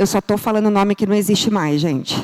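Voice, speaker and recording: The speaker talks at a fairly quick pace. The tone is animated. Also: woman. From São Paulo state, Brazil (ABC region). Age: 40s. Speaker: business speaker. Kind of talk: conference talk. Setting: stage with audience.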